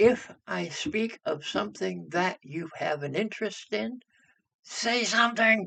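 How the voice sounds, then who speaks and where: The voice is raised and projected, moving at a very slow pace. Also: man. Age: 60s. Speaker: spiritual teacher on energy and astrology. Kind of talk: casual monologue to camera.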